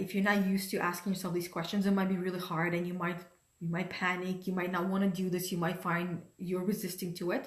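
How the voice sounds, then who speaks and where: Her voice is somewhat breathy, and this woman talks at a fairly quick pace. Audible room echo is present. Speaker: life coach. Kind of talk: motivational talk. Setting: livestream from home dining room.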